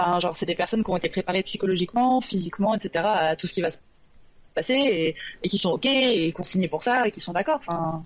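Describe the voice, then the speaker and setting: In an unremarkable speaking voice, a woman talks at a fairly quick pace with lively intonation and medium pitch. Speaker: novelist. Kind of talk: casual debate chat. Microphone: low volume, poor sound at start.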